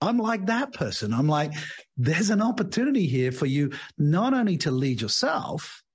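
With an English accent, a man speaks at a moderate pace and a fairly high pitch, making very wide pitch swings amid audible room echo. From England. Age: 60s. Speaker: leadership coach and author. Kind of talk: interview.

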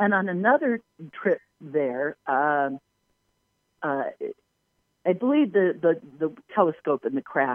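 Woman with an American accent, lively intonation and a fairly slow pace with long, frequent pauses. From Southern California, Palos Verdes. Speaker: UFO researcher and tour guide. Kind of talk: interview. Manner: halting, many fillers.

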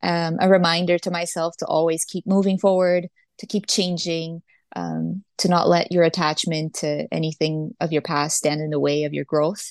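A woman speaks with a Portuguese accent at a fairly low pitch and with fairly even intonation. The sound is dry and close with no echo, against a quiet background. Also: moderate pace. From Brazil. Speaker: singer-songwriter. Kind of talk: interview.

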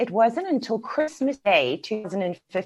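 The speaker has a South African accent and very wide pitch swings. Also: woman. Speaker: business mentor and coach. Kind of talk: casual interview chat.

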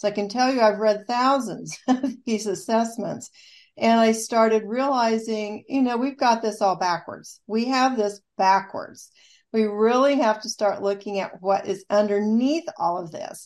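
On a very clean recording with a silent background, a woman with an American accent uses an ordinary speaking voice, fairly high in pitch with ordinary pitch variation, at a fairly slow pace. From US Midwest, rural southeast Kansas. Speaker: rehabilitation counselor and author. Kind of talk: radio interview.

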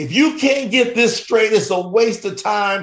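A man talks in a Southern US accent with an animated tone. He keeps a moderate pace and ordinary pitch variation. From Kentucky, US South. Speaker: entrepreneur and author. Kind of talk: interview.

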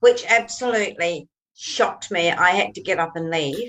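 A woman with a New Zealand accent and very wide pitch swings. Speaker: co-host, author and author mentor. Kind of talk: interview conversation.

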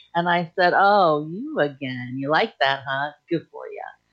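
A woman with an American accent, an ordinary speaking voice, lively intonation and a fairly slow pace. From US Midwest and Idaho. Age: 40s. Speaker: podcast host and author. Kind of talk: personal storytelling monologue.

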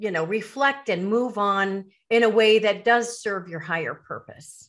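Heard on a very clean recording with a silent background, a woman has a normal speaking voice. She talks at a fairly high pitch and a fairly slow pace. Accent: American. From US Midwest, north shore of Chicago. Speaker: author and retired educator. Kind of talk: interview.

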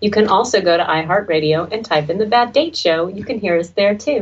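An unremarkable speaking voice from a woman at medium pitch, lively in intonation, moderate in pace. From Texas. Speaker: radio talk show host. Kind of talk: casual chat.

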